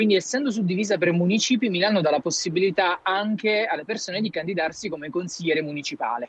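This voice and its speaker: Barely pausing, a man with a high pitch speaks at a very fast pace with ordinary pitch variation. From Campania. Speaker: local political candidate. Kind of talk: casual chat.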